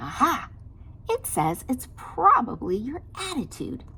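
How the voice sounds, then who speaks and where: Over clear background noise, a woman uses a put-on character voice at a fairly slow pace. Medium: read story. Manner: stammering, nervous.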